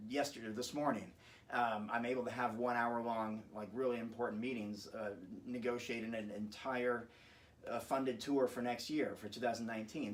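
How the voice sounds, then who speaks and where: Noticeable background noise and audible room echo fill the recording. A man of medium pitch speaks at a fairly quick pace. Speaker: patient giving a testimonial. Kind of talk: testimonial interview. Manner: fast; halting, with many repeated words.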